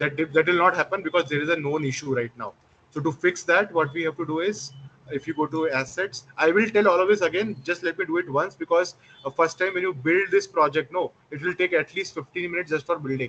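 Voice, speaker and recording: Delivered at a very fast pace, the speech carries ordinary pitch variation. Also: man, high pitch for a man. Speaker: instructor. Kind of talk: live online class tutorial.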